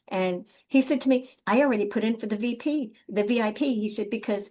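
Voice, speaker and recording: A woman speaks at a fairly high pitch. Her voice is somewhat breathy. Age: 60s. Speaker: life coach. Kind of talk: panel interview.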